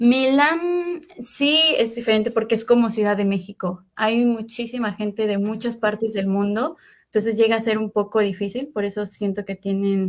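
A woman with a Mexican accent and a fairly high pitch at a moderate pace, with ordinary pitch variation and a quiet background. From Mexico, Puebla. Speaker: master's student. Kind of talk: interview. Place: home room.

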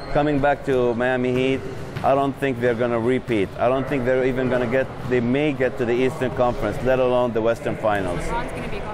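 A man talks at a very fast pace in a monotone, flat intonation. Noticeable background noise is present. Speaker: event host interviewee. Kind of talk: interview answer. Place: hall. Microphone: lapel.

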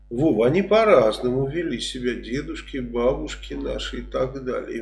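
Music plays in the background as a man speaks. His pace is fairly slow, and room echo is audible. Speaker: political commentator. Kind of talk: casual commentary reacting to quoted statements. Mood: sarcastic, mocking, indignant. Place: home room. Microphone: webcam.

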